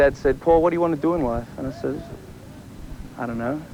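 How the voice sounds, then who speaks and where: A man with an Australian accent. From Australia, Sydney area. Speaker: college football player. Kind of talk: interview. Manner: casual, filler-heavy.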